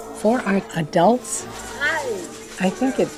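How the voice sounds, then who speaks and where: There is music playing in the background. A woman is speaking. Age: 70s. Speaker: founder of a care center. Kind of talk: documentary interview.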